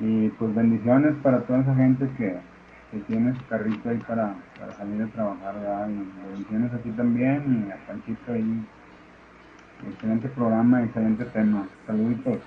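Using a normal speaking voice, a man talks in a medium pitch with fairly even intonation. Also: moderate pace. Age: 50s. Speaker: unemployed security guard. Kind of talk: voice message.

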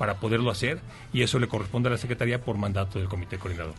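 Fairly low-pitched and fairly even in intonation, the man speaks at a very fast pace. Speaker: government official. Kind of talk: interview. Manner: formal.

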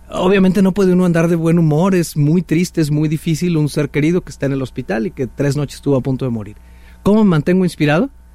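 Over music in the background, a man talks at a very fast pace in a fairly high voice with ordinary pitch variation. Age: 40s. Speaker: author and leadership speaker. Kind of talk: casual interview.

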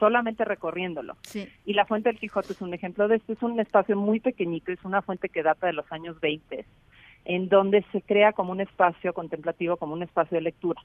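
A woman talks at a fairly quick pace with fairly even intonation. Hers is an unremarkable speaking voice. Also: medium pitch for a woman. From Mexico City. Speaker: head of a public park trust. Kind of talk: radio interview.

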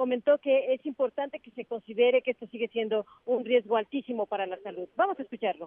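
A woman talks very fast, with hardly any pauses, in a high voice with ordinary pitch variation. Her loudness swings widely. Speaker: reporter. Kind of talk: live report.

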